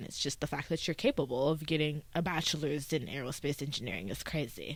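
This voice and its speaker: With vocal fry and a very deep, low pitch, a woman talks at a moderate pace and ordinary pitch variation in a very clean recording with a silent background. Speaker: vlogger. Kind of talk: casual monologue. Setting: at home. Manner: animated.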